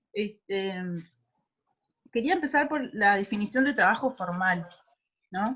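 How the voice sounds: The voice has a fairly bright tone and lively intonation. It moves at a fairly slow pace. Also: woman, medium pitch for a woman.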